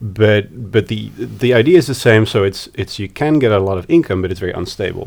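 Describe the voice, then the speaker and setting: A man with a Dutch accent talks at a fairly quick pace with hardly any pauses, lively intonation, a fairly low pitch, and vocal fry, in a very clean recording with a silent background. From Netherlands, Amsterdam. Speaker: psychology researcher. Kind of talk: interview. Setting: recorded at a conference. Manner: halting.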